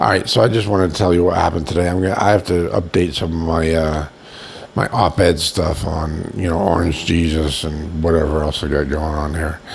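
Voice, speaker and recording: A man with a Boston accent speaks at a fairly quick pace, his pitch very deep and low. Noticeable background noise runs underneath. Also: fairly even intonation. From Boston, US. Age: 60s. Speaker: video blogger, nursing home resident. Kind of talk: casual vlog monologue. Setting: in bed at a nursing home. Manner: rambling, halting.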